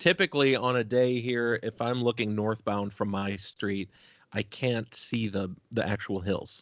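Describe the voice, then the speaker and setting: A man talks in a normal speaking voice at a medium pitch, with ordinary pitch variation and a fairly slow pace. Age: 30s. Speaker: podcast host. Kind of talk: casual chat.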